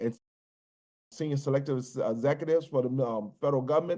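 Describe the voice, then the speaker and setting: An unremarkable speaking voice belongs to a man with an American accent and a fairly high pitch. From US South, Virginia (New Kent County). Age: 60s. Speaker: business executive, military veteran. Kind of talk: podcast interview. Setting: podcast recording.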